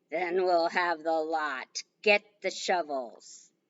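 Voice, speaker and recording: In a put-on character voice, a woman talks at a very slow pace with a fairly low pitch and ordinary pitch variation. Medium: read story. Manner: curt, impatient.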